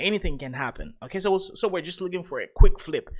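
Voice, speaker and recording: A man with a non-native accent and a high pitch, at a fairly quick pace, on a very clean recording with a silent background. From Africa. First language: not English. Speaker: crypto trading youtuber. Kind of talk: live stream trading commentary. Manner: halting, many fillers.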